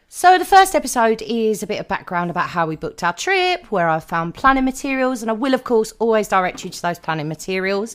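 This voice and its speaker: A woman with a British accent talks at a fairly quick pace in a very clean recording with a silent background. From Britain. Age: 30s. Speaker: podcast host. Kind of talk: podcast monologue.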